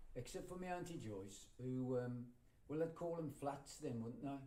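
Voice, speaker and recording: Audible room echo surrounds a man's dark, mellow tone as he speaks at a fairly quick pace with ordinary pitch variation. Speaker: folk singer and storyteller. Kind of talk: storytelling talk to live audience. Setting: library with audience. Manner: conversational, hesitant fillers.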